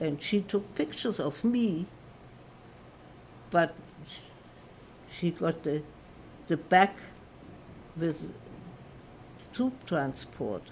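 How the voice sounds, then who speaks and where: Speaking at a very slow pace with long, frequent pauses, a woman with a German accent sounds somewhat breathy at a fairly low pitch, her intonation lively and her loudness swinging widely. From Germany, Frankfurt. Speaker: Holocaust survivor. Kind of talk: testimony. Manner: halting.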